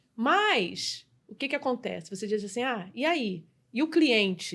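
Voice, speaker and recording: This woman speaks in a high voice that swings very widely in pitch. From Brazil, Rio de Janeiro. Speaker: customer experience specialist and business mentor. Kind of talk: podcast interview.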